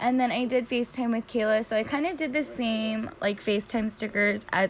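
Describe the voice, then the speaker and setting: A woman with an unremarkable speaking voice speaks at a moderate pace in a fairly high pitch. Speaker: planner YouTuber. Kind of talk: casual tutorial narration. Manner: filler-heavy, chatty.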